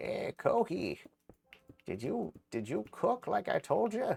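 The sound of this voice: A man's put-on character voice at a fairly slow pace.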